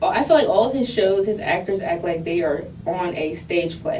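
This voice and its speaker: A woman at a moderate pace with very wide pitch swings, audible room echo and noticeable background noise. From US inner city. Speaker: podcast host. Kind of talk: casual interview chat.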